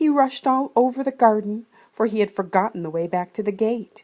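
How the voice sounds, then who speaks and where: A woman with an ordinary speaking voice talks at a medium pitch and a moderate pace, with lively intonation. The recording is very clean, with a silent background. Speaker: grandmother reading to children. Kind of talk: children's storybook reading. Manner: warm, gentle, storytelling.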